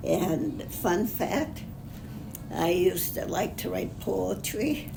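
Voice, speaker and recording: Very slow female speech amid noticeable background noise. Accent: American. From Upper Peninsula of Michigan. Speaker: retired executive secretary. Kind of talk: interview answer. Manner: conversational, hesitant.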